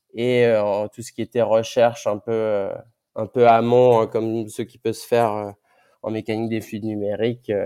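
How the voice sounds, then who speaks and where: In a dry, close sound with no echo, a man talks very slowly at medium pitch with monotone, flat intonation. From Martinique. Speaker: ocean engineer. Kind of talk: interview. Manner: halting, many repetitions and fillers.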